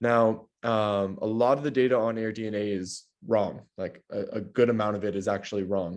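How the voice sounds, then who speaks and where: A man's fairly low voice with fairly even intonation at a moderate pace. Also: hardly any pauses. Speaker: real estate data analyst. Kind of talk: client consultation call. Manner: long run-on sentences, talkative; casual, many fillers.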